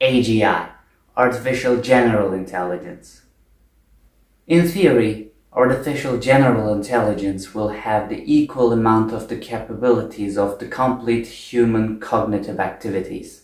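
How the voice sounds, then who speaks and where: Medium pitch from a male speaker, with an audible echo from the room. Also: ordinary pitch variation, moderate pace. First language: not English. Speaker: video essayist. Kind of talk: spontaneous monologue. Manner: unscripted, with fillers.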